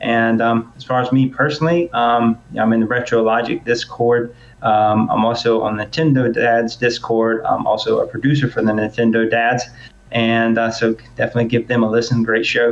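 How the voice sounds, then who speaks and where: With a Southern US accent, a man talks in a monotone, flat intonation at a very even loudness. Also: medium pitch for a man. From US South. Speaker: podcast host. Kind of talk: casual chat. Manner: fast.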